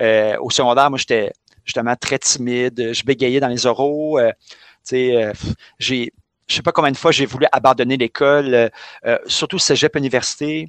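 A man speaks in a normal speaking voice at medium pitch and a moderate pace, with fairly even intonation. The sound is dry and close with no echo, over a quiet background. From Quebec, Montreal. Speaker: physical education teacher. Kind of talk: casual chat.

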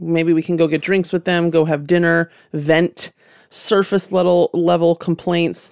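In a normal speaking voice, a woman speaks at a moderate pace and a fairly low pitch, in a very clean recording with a silent background and a dry, close sound with no echo. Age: 30s. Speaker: podcast host and skincare founder. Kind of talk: interview conversation. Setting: studio.

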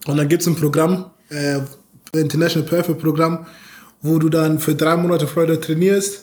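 At a moderate pace, a man with fairly high pitch speaks in a monotone, flat intonation. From Bavaria, Munich. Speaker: American football player. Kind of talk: interview.

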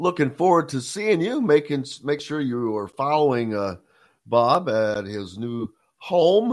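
In a very clean recording with a silent background, a man with a fairly high pitch talks at a fairly slow pace, his pitch swinging very widely. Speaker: radio host. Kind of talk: radio show hosting, conversational. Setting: studio. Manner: animated, chatty.

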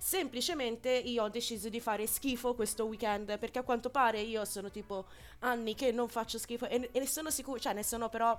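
Loud and at a fairly quick pace, a woman speaks with a fairly high pitch and fairly even intonation. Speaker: radio host. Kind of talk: casual chat.

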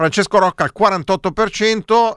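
This man is heard on a very clean recording with a silent background, the sound dry and close with no echo. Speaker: radio co-host. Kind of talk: casual live radio chat, election night. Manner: ironic, joking.

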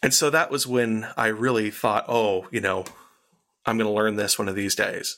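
Speaking with an American accent, a man has a bright, sharp tone and a medium pitch with ordinary pitch variation. He keeps a moderate pace in a very clean recording with a silent background. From Arizona, US. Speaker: composer and voice actor. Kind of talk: casual interview chat.

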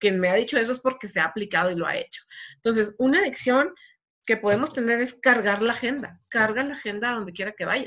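Fairly high in pitch, a woman with a normal speaking voice talks at a fairly quick pace with lively intonation. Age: 40s. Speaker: network marketing coach. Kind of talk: live stream motivational talk. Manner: casual, conversational.

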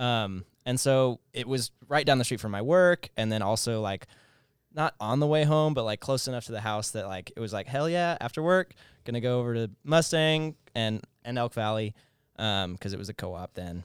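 A man with an American accent in a normal speaking voice, medium pitch, lively intonation and moderate pace, on a very clean recording with a silent background and a dry, close sound with no echo. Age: 20s. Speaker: brewery owner. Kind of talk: interview.

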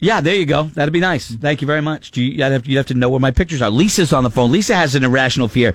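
Animated in tone, a man speaks at a very fast pace with hardly any pauses. His pitch is fairly high. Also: ordinary pitch variation, very even loudness. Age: 50s. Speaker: morning radio host. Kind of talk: casual chat. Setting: studio.

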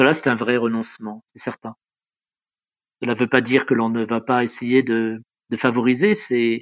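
A man's medium-pitched voice with fairly even intonation at a moderate pace. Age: 60s. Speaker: caregiver. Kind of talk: testimony. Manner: halting.

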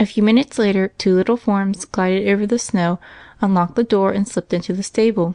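Here is plain reading aloud.

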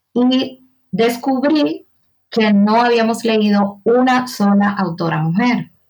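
Somewhat breathy, a woman speaks at a very slow pace with very even loudness. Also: fairly high pitch for a woman, ordinary pitch variation. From Dominican Republic, San Cristóbal province. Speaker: writer and journalist. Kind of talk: interview conversation.

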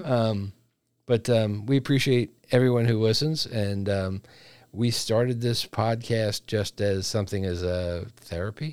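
A man talks with a normal speaking voice at a fairly slow pace. His pitch varies in an ordinary way, and the recording is very clean with a silent background. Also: medium pitch for a man. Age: 50s. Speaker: podcast co-host. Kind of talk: casual chat.

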